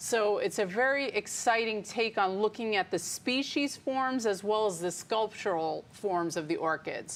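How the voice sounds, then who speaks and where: A woman with a fairly high pitch and an unremarkable speaking voice, in an American accent, very even loudness, hardly any pauses, a fairly slow pace and ordinary pitch variation. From New York suburbs, Westchester County. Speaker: botanical garden director. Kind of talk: interview.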